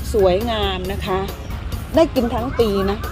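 A woman speaks with a dry sound and no echo. Clear music plays in the background. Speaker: vlogger. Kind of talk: casual vlog chat. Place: garden. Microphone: phone near.

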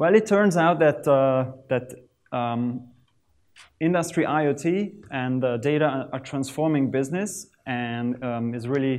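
At a fairly slow pace, a man speaks in a slightly mellow tone. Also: medium pitch for a man, ordinary pitch variation.

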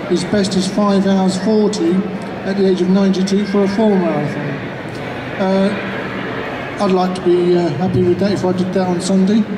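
A man with a high pitch talks at a moderate pace in a monotone, flat intonation, leaving long, frequent pauses over noticeable background noise. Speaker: spokesperson for an elderly runner. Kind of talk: press conference answers. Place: hall.

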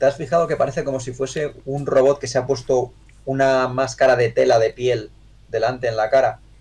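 A man talks at a fairly quick pace. His voice is somewhat breathy with fairly even intonation. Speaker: miniature painter; streamer reviewing miniatures. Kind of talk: livestream review chat. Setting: live stream. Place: home room.

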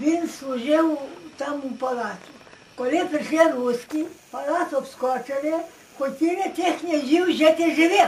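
Over light background noise, a woman with a high voice talks at a fairly slow pace with ordinary pitch variation. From Western Ukraine. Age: 80s+. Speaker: village elder recalling the past. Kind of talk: interview answer. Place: home room. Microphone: camera far.

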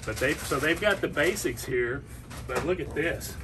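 Amid noticeable background noise, a man with a Tennessee accent talks at a moderate pace. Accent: Southern US (Tennessee). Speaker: fishing guide promoting a liquor store. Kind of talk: promotional product showcase. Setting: in a liquor store. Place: shop. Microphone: phone near.

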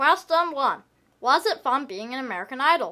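A female-sounding cartoonish character voice speaks at a moderate pace and a high pitch. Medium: puppet. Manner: upbeat.

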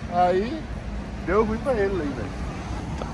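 A high-pitched male voice, dry with no echo, over light background noise. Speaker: vlogger telling a story. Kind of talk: casual vlog chat. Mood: animated, slangy storytelling. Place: street. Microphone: phone near.

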